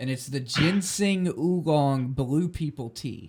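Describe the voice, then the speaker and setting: A man speaks with a somewhat breathy voice and ordinary pitch variation. The recording is very clean, with a silent background. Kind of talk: casual podcast talk.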